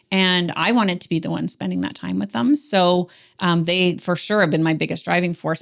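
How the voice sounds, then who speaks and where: In a Canadian accent, a woman with a plain, everyday voice talks at a moderate pace and a medium pitch. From Ontario, Canada. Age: 40s. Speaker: business coach. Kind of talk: interview conversation. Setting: podcast recording.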